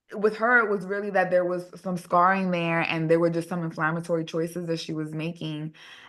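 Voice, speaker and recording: With an American accent, a woman speaks at a fairly low pitch in a bright, sharp tone over a quiet background. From New York City. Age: 30s. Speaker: hair regrowth practitioner. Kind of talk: podcast interview.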